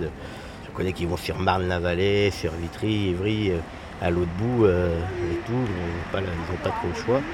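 With audible room echo and noticeable background noise, a man speaks at a moderate pace in a very deep, low pitch with fairly even intonation. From Garges-lès-Gonesse, Paris suburbs. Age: 40s. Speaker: local councillor. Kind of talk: interview. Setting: outdoors.

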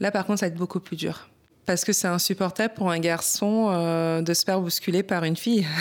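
Her loudness stays very even as a woman with an unremarkable speaking voice talks at a medium pitch. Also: fairly quick pace. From Paris, France. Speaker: boxer, champion. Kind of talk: testimony.

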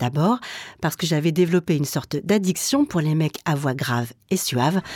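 A woman with a normal speaking voice speaks at a moderate pace with lively intonation. The sound is dry and close with no echo, on a very clean recording with a silent background. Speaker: radio documentary maker. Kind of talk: scripted narration.

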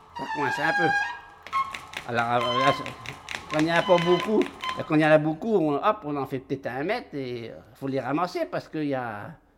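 A man at a fairly slow pace with lively intonation, over noticeable background noise. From rural France. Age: 60s. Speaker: poultry farmer. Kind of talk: casual chat.

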